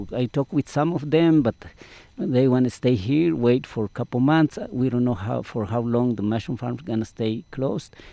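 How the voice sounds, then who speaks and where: A man with a Mesoamerican accent speaks at a moderate pace in a dark, mellow, medium-pitched voice. His pitch varies in an ordinary way, and the sound is dry and close with no echo. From Guatemala. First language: Mayan language. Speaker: farmworker community organizer. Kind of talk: interview. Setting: outdoors.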